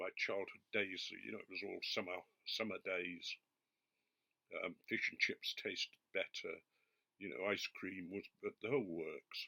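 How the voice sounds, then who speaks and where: Heard in a dry, close sound with no echo, the speaker uses an English accent and talks at a fairly slow pace with long, frequent pauses. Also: man. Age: 70s. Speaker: pipe tobacco reviewer. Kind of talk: casual product review monologue.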